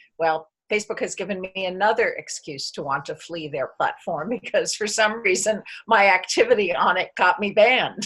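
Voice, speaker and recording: A normal speaking voice with an American accent, moderate pace and ordinary pitch variation. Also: woman, medium pitch for a woman. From United States. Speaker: community member. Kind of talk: video call group chat.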